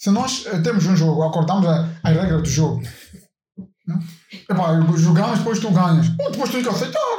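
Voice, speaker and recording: The voice moves at a moderate pace with ordinary pitch variation. Audible room echo surrounds it. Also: man, high pitch for a man. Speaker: podcast co-host. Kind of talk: casual chat.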